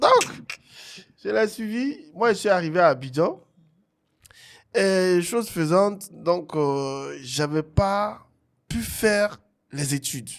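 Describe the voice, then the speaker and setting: A man with an Ivorian accent speaks very slowly in a high voice, with lively intonation and long, frequent pauses. The recording is very clean, with a silent background. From Togo. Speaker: singer and musician. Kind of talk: interview, telling his life story.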